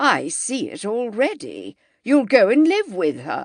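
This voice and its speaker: A woman's high-pitched, put-on character voice with very wide pitch swings against a quiet background. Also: fairly slow pace. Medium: read story. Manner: curt, disapproving.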